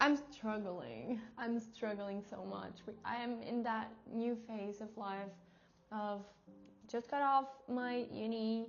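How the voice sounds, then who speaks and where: A woman's fairly high voice with a Portuguese accent, fairly even intonation and a very slow pace, with audible room echo and music in the background. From Portugal. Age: 20s. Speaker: vlogger. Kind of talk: casual vlog talk to camera. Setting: at home, in her room. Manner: halting non-native speech.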